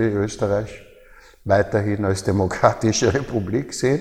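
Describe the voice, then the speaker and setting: A man's fairly low, somewhat breathy voice with a dark, mellow tone, fairly even intonation and a fairly slow pace. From Austria, Baden near Vienna. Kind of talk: interview.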